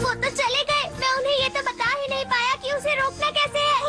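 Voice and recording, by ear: A cartoonish character voice at an extremely high pitch and a fairly quick pace, with clear music in the background.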